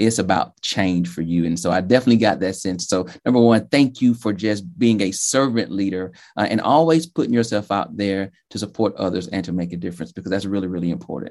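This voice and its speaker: Speaking with a Southern US accent, a man talks at a fairly quick pace with hardly any pauses and a fairly low pitch. His intonation is lively, and the background is quiet. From Georgia, US South. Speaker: podcast host. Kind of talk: interview.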